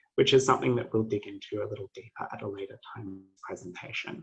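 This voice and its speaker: Music plays behind speech that runs at a fairly quick pace. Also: man. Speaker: PhD student presenter. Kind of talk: academic presentation.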